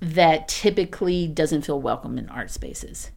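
Her voice carries an American accent, and this woman speaks at a fairly low pitch. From rural East Texas. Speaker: artist, residency organizer. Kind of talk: radio interview. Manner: casual, animated.

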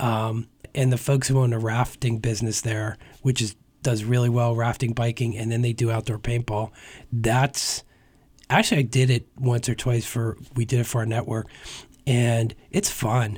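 This man has an American accent and a medium, somewhat breathy voice, speaking in a flat monotone at a moderate pace. The recording is very clean, with a silent background. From northeastern Pennsylvania (Hazleton). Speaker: tourism bureau executive. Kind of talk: radio interview.

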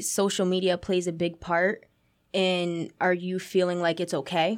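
A woman at medium pitch with a plain, everyday voice, at a fairly slow pace, on a very clean recording with a silent background. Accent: American. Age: 20s. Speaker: youth program director. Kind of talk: interview. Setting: studio.

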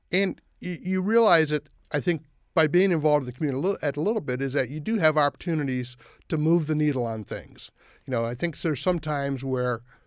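At a very fast pace and with an American accent, the voice shows ordinary pitch variation in a very clean recording with a silent background. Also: man. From US Midwest. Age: 60s. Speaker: mayor. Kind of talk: radio interview. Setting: studio.

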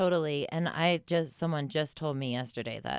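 Recorded very cleanly against a silent background, a woman speaks with vocal fry and lively intonation. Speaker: podcast co-host. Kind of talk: casual podcast chat.

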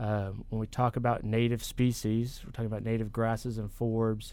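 A man with an American accent speaks at a moderate pace and medium pitch. His tone is dark and mellow, his intonation monotone and flat. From Texas. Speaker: range management specialist. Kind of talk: radio interview. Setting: radio studio.

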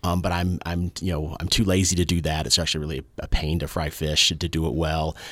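A man with a very deep, low pitch and a Southern US accent talks at a fairly quick pace in monotone, flat intonation, with hardly any pauses. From US South, rural. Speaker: historian and radio show co-host. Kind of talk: casual chat. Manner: halting, many repeated words.

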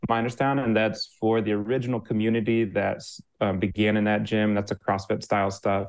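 A man with an American accent, fairly low pitch, monotone and flat intonation, moderate pace. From US Midwest. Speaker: fitness coach. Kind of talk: interview.

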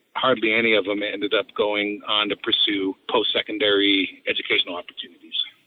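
Speaking at a fairly quick pace, a man talks with hardly any pauses. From Delta County, Colorado. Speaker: school district administrator. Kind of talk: interview.

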